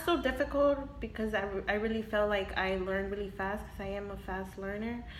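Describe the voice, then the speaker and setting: Spoken with a Spanish accent, this voice has ordinary pitch variation and audible room echo. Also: woman. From Houston, Texas. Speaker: interviewee. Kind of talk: interview. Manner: hesitant, many fillers.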